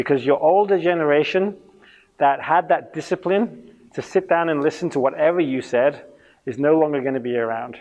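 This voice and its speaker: A man with an English accent speaks at a fairly quick pace. His pitch is fairly high, with ordinary variation. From England. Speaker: youth ministry trainer. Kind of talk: conference talk. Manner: fast when passionate; interactive.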